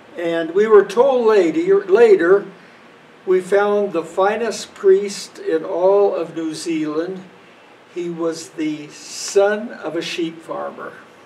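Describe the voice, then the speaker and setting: A man with an American accent speaks at a very slow pace and a high pitch. His loudness swings widely, and background noise is noticeable. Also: ordinary pitch variation. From US Midwest (Western Kansas). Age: 80s+. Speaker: parishioner, retired runner. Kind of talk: storytelling. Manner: casual, relaxed.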